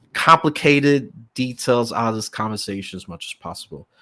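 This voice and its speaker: A man's normal speaking voice at medium pitch, with ordinary pitch variation, in a very clean recording over a silent background. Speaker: podcast host. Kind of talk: podcast interview.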